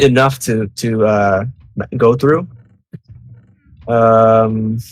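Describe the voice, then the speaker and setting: Speaking very slowly with a Spanish accent, a man keeps a medium pitch and fairly even intonation. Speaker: game developer. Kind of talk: live Q&A. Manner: halting.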